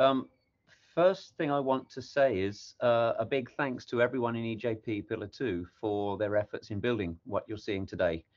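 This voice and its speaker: A man's ordinary speaking voice at medium pitch, with ordinary pitch variation and a moderate pace. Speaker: technical project lead presenting. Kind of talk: workshop presentation.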